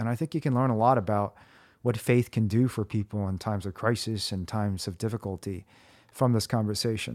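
A man with an American accent speaks at a fairly quick pace in an unremarkable speaking voice, fairly low in pitch with ordinary pitch variation. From US Midwest (central Indiana). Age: 40s. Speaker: podcast host.

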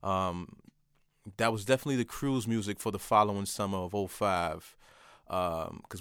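On a very clean recording with a silent background, a man speaks with a New York accent. His fairly low pitch stays fairly even in intonation, and his pace is moderate. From New York, Port Chester and Manhattan. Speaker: author and designer. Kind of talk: casual chat.

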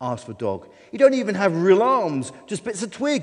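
What we hear is a natural reading voice.

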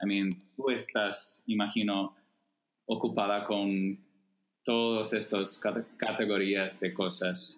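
The voice has an American accent and a very slow pace. Its intonation is monotone and flat, and its loudness very even. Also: man, fairly low pitch for a man. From US Midwest, Chicago suburbs. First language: English (speaking Spanish). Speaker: writer, activist and theology student. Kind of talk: casual interview chat. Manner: slow, halting Spanish.

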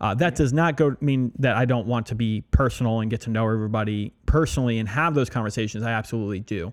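A man with an American accent speaks at a very fast pace with hardly any pauses and ordinary pitch variation, in a very clean recording with a silent background. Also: medium pitch for a man. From Pennsylvania, Allentown. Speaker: restaurant owner and podcast host. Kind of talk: casual chat.

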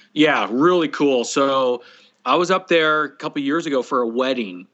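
In an American accent, a man speaks at a medium pitch and a fairly slow pace. He has an ordinary speaking voice with ordinary pitch variation. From California. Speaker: barbecue caterer. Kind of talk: casual chat.

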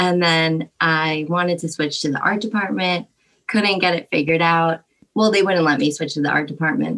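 A woman's fairly low-pitched, normal speaking voice, with ordinary pitch variation and a moderate pace. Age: 20s. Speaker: art student. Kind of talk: casual chat.

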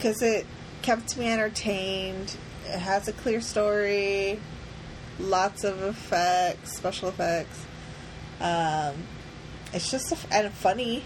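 Over noticeable background noise, a woman with a medium pitch and ordinary pitch variation speaks in a playful tone at a very slow pace, with long, frequent pauses. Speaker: podcast co-host. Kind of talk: casual chat. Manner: laughs often, playful.

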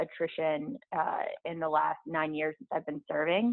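A woman speaks in a normal speaking voice with an American accent. Her pitch is fairly low and her pace moderate. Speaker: elected local official. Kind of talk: interview.

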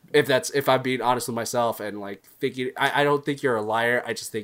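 A man with an unremarkable speaking voice talks at a fairly quick pace with medium pitch and fairly even intonation. The recording is very clean, with a silent background. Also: hardly any pauses. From Texas. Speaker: friend of the podcast, former guest. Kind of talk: casual chat.

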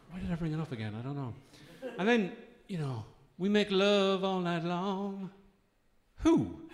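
Moving through very wide pitch swings, a man talks at a moderate pace. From Irish Midlands. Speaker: comedian. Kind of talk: stand-up. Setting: stage with audience.

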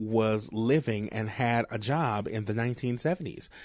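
A man talks in an animated tone with a New Orleans accent. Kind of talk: casual chat.

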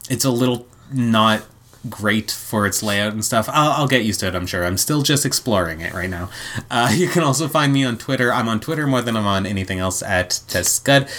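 A man with an unremarkable speaking voice at medium pitch talks at a fairly quick pace. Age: 30s. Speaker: podcast co-host. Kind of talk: casual chat; summarizing plots. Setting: home recording with partner.

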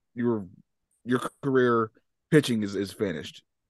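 Against a quiet background, this man's voice holds a medium pitch. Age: 40s. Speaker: sports podcast co-host. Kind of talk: casual chat.

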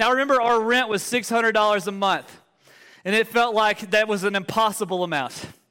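A man's high-pitched, raised and projected voice with an Alabama accent, bright and sharp in tone, very even in loudness, at a fairly quick pace, on a very clean recording with a silent background. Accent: Southern US (Alabama). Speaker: pastor. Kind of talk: sermon. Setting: church. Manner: animated.

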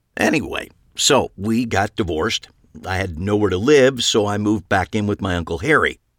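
Ordinary pitch variation in plain reading aloud

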